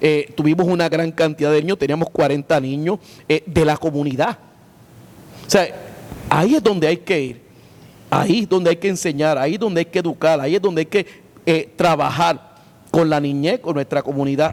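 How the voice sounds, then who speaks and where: Against noticeable background noise, a man speaks at a fairly quick pace and fairly high pitch with ordinary pitch variation and long, frequent pauses. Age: 60s. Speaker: pastor. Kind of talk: interview. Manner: halting, many filler sounds.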